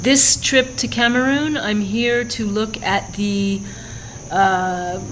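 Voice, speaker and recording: Noticeable background noise sits under a woman's fairly high voice. She talks at a very slow pace with ordinary pitch variation. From California, United States. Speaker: journalist and documentary filmmaker. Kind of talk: interview answer.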